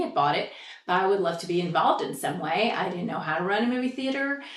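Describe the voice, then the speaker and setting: In a room with audible echo, a woman with an American accent talks at a very fast pace with ordinary pitch variation. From Indiana, US Midwest. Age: 60s. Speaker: local theater manager. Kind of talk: oral history interview.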